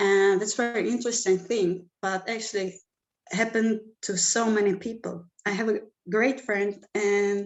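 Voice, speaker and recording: At a fairly slow pace, a woman with a Czech accent speaks at a medium pitch and with fairly even intonation. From Czech Republic. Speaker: music manager and event producer. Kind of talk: panel discussion.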